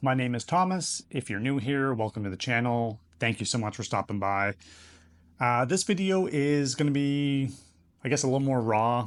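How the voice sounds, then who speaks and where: A man speaks at a moderate pace with a medium pitch and ordinary pitch variation. The background is quiet. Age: 30s. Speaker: YouTuber. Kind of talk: casual vlog monologue. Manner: casual, hesitant with fillers.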